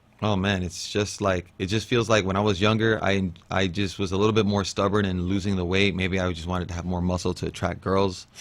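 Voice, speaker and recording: A man with a very deep, low pitch talks at a fairly quick pace in a monotone, flat intonation with hardly any pauses. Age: 30s. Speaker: professional MMA fighter. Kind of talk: interview. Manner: casual, halting.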